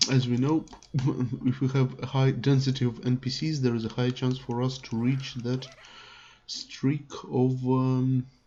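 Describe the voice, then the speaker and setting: A man with a non-native accent, medium-pitched, somewhat breathy and dark, mellow in tone, with monotone, flat intonation, a fairly slow pace, and long, frequent pauses. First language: not English. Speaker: gaming youtuber. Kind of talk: gameplay tutorial. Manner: hesitant, many fillers.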